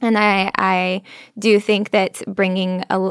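This woman's voice sits at a medium pitch and carries some vocal fry. The sound is dry and close with no echo, in a very clean recording with a silent background. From California, US. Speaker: university student. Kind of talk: casual interview. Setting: studio.

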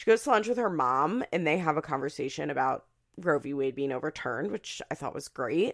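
A woman with a Philadelphia accent, very deep and low in pitch, fairly quick, with very wide pitch swings and big swings in loudness, in a very clean recording with a silent background. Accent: mild Philadelphia. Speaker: podcast host. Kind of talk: casual chat. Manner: chatty, laughs often.

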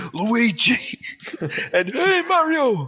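A man's put-on character voice in a Brooklyn accent, extremely high in pitch, with very wide pitch swings. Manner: cartoonish, exaggerated.

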